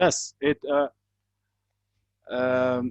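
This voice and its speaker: The sound is dry and close, with no echo. A man is the one talking. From Iran. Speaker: climate control engineer. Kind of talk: product presentation. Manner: halting; quiet.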